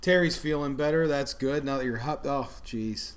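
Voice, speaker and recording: With audible room echo, the voice moves at a moderate pace with lively intonation. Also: man. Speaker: food channel host. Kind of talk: casual live stream chat. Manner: mumbling.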